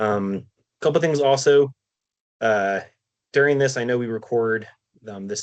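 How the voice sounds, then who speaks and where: The man's voice sits at a medium pitch and keeps a fairly even intonation. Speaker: harm reduction nurse. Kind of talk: lecture. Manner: fast.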